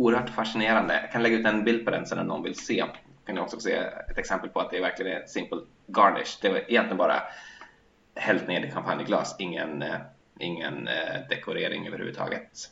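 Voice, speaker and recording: Noticeable background noise runs beneath a man who speaks at a very fast pace. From Sweden. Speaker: podcast co-host. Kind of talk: casual chat.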